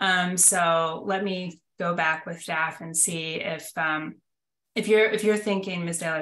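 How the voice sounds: A woman's low pitch with little movement, a fairly bright tone, a fairly slow pace and audible room echo.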